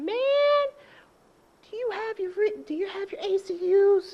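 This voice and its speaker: The pitch sits extremely high in this put-on character voice. Its pace is moderate. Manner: fussy, checking in.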